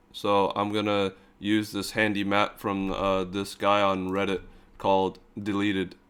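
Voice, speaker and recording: The man's fairly low voice has a deadpan tone and monotone, flat intonation. He speaks at a fairly slow pace in a very clean recording with a silent background. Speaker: gaming YouTuber. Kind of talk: casual gameplay commentary.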